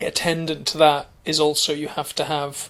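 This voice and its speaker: A man's fairly high, bright, sharp voice stays monotone and flat in a very clean recording with a silent background. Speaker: comedian. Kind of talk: casual chat.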